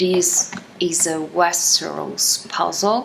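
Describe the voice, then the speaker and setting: Amid light background noise, a woman with a non-native accent speaks at a very slow pace in a medium pitch with ordinary pitch variation. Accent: noticeable non-native. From Italy. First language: Italian. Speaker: YouTuber. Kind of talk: unboxing haul video. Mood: enthusiastic, pleased. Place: home room. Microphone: phone near.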